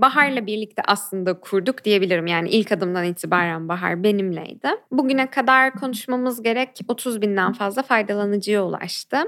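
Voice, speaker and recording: An ordinary speaking voice carries lively intonation. It runs on with hardly any pauses. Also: woman. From Turkey, Ankara. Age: 20s. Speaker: activist and human rights lawyer. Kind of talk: interview.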